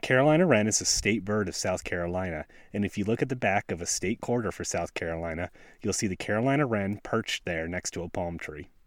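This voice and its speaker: The recording is very clean, with a silent background. A man talks at a very fast pace in a fairly low pitch with ordinary pitch variation. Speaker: podcast host. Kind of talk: scripted-style solo narration. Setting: outdoors in snowy forest. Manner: laid back, casual.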